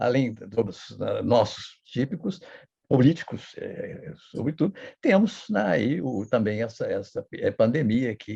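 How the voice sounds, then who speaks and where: His voice has a dark, mellow tone with some breathiness. The man's delivery is fairly slow. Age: 80s+. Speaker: historian and professor. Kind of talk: interview.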